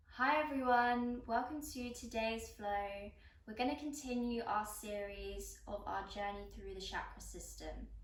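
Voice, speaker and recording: In a calm tone, a woman speaks at a fairly slow pace amid noticeable background noise. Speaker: yoga instructor. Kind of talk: guided yoga class instruction. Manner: calm, instructional.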